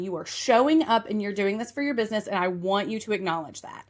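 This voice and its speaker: A woman with an Appalachian accent speaks in a fairly high pitch with a bright, sharp tone and ordinary pitch variation, captured in a very clean recording with a silent background. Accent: Appalachian Southern. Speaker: podcast host and marketing coach. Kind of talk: podcast monologue. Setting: office couch. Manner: fast.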